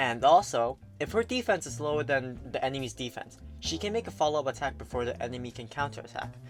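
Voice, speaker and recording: The speaker talks at a fairly quick pace with music playing in the background. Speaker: gaming YouTuber. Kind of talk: casual game guide commentary.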